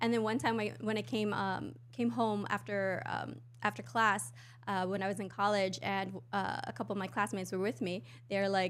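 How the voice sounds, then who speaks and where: Speaking fairly quickly with an American accent, a woman uses a medium pitch and vocal fry. Her pitch swings very widely. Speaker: podcast host. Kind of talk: casual chat. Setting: livestream. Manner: fast.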